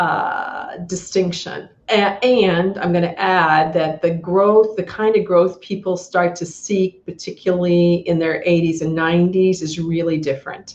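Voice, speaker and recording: A woman speaks at a fairly slow pace in a plain, everyday voice, her fairly low pitch carrying fairly even intonation. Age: 60s. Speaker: Feldenkrais practitioner and trainer. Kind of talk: podcast interview.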